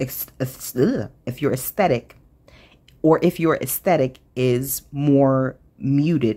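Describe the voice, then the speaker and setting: A woman speaks with a very deep, low pitch and a dark, mellow tone. Her intonation stays fairly even. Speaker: craft channel host. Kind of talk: casual haul show-and-tell.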